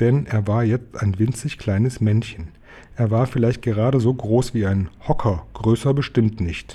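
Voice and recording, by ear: Natural-voiced reading aloud featuring ordinary pitch variation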